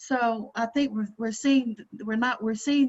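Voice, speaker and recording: A woman's fairly high, somewhat breathy voice with a Georgia accent, at a moderate pace with fairly even intonation, over a quiet background. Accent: Southern US (Georgia). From Georgia, US South. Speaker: presenter, counselor/coach. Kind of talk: panel discussion.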